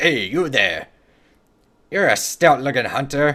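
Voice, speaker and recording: Over a silent background in a very clean recording, a man uses a put-on character voice at a fairly high pitch and a fairly slow pace. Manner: gruff, hearty.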